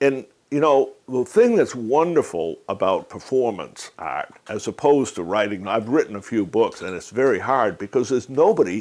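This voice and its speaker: A man at a medium pitch with vocal fry, lively intonation, a moderate pace and hardly any pauses. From Maine, Boothbay Harbor. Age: 60s. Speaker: humorist. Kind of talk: interview. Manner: animated.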